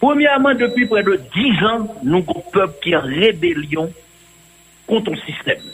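Long, frequent pauses break the very slow speech, and noticeable background noise runs underneath. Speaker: political commentator. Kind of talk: radio political commentary.

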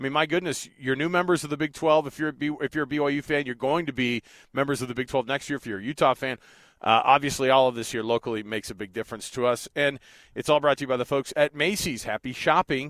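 A man's very fast, energetic delivery at a fairly high pitch, dry and close with no echo, on a very clean recording with a silent background. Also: ordinary pitch variation. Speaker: radio sports host. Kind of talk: radio sports show banter. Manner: casual, energetic.

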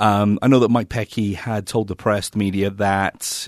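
Speaking at a moderate pace with an American accent, a man with a fairly low voice is heard against a quiet background in a dry, close sound with no echo. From England. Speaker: soccer analyst. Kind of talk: sports talk show.

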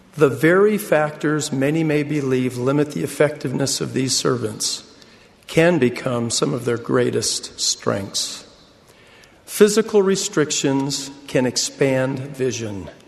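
Over noticeable background noise, a man speaks fairly slowly. His intonation is lively. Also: fairly high pitch for a man. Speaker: church leader. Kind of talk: sermon.

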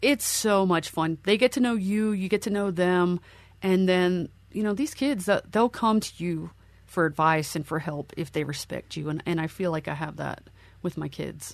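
A woman at medium pitch, moderate pace and ordinary pitch variation, against a quiet background. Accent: Mid-Atlantic US. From Pennsylvania, Lancaster County. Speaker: army veteran and professor. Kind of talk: interview storytelling.

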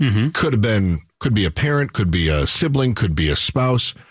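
A man talks at a moderate pace with very wide pitch swings. His voice is somewhat breathy. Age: 40s. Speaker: radio talk show host. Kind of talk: talk radio discussion with callers.

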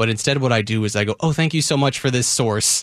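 Very fast and full of lively intonation, a man's medium-pitched voice comes through dry and close with no echo in a very clean recording with a silent background. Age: 30s. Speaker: radio host. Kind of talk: casual chat. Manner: animated.

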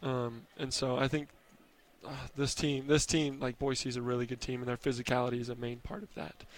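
Spoken at a fairly quick pace with ordinary pitch variation, this is an unremarkable speaking voice with an American accent. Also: man, medium pitch for a man. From US Northwest, Oregon/Idaho area. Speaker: college basketball player. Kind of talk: postgame interview.

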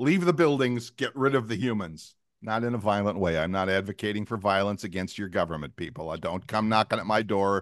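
With hardly any pauses and a quiet background, a man in an ordinary speaking voice talks at a fairly quick pace, with a fairly low pitch and lively intonation. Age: 60s. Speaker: podcast co-host, former radio host. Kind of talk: casual chat.

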